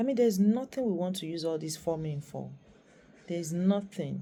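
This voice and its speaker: With a Nigerian accent, a woman speaks at a fairly low pitch with lively intonation, a somewhat breathy quality and a dark, mellow tone. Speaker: YouTuber. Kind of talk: vlog monologue.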